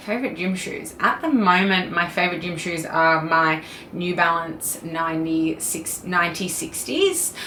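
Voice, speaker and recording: With audible room echo and noticeable background noise, a woman speaks at a moderate pace with a fairly low pitch and fairly even intonation. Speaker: fitness vlogger. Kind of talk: casual Q&A vlog.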